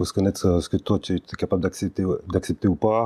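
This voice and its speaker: Soft-spoken, a man talks in a very deep, low voice with a dark, mellow tone. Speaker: interview guest, author of a memoir. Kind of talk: interview. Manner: hesitant, many fillers.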